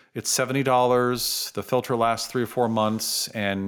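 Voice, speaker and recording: A man with an American accent speaks at a fairly quick pace and medium pitch in an unremarkable speaking voice, captured in a very clean recording with a silent background. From San Francisco, US West Coast. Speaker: dentist. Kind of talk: interview.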